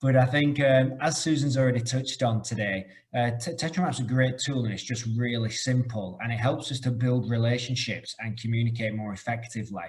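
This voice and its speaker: A man of medium pitch talks at a fairly quick pace in a somewhat breathy voice with fairly even intonation. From UK. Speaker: corporate trainer. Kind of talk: webinar presentation.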